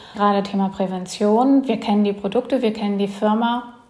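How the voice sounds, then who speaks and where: Somewhat breathy, a woman with a fairly high pitch speaks at a moderate pace with fairly even intonation. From Germany. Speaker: emigrant and entrepreneur. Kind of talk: interview.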